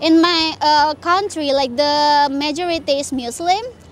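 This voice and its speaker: A woman speaks at a high pitch with ordinary pitch variation. Background noise is noticeable. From Indonesia. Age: 20s. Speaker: former teacher, now fast-food cashier. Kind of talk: interview. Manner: halting, many fillers.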